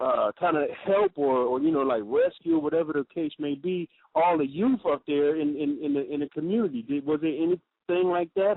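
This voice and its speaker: At a fairly high pitch, a man talks at a moderate pace with ordinary pitch variation and hardly any pauses. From California, US. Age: 40s. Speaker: radio host. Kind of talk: interview. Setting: radio call-in. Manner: halting.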